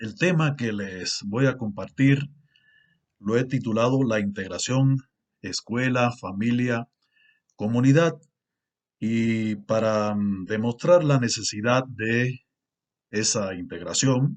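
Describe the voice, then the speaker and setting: Against a quiet background, the speech moves at a very slow pace with long, frequent pauses and ordinary pitch variation. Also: man, medium pitch for a man. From Cuba. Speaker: university lecturer and researcher. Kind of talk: conference lecture. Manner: formal, with frequent fillers.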